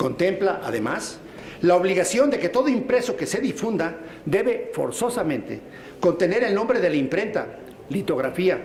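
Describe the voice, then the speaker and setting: A man's high-pitched voice at a moderate pace, lively in intonation, with audible room echo and noticeable background noise. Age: 60s. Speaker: state legislator. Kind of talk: legislative speech. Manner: formal.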